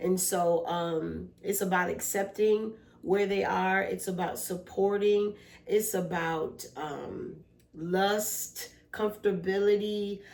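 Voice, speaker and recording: A woman's very slow, flat monotone, with audible room echo and noticeable background noise. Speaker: podcast co-host, mother and therapist. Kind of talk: casual family chat.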